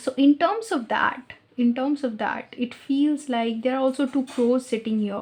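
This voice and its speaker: A woman talks with hardly any pauses and ordinary pitch variation. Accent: non-native. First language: not English. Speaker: tarot reader. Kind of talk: tarot reading. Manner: halting, with fillers.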